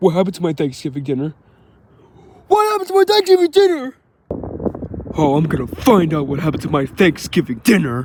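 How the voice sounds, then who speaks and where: Using a cartoonish character voice, a man talks very fast at a high pitch, broken by long, frequent pauses. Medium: puppet.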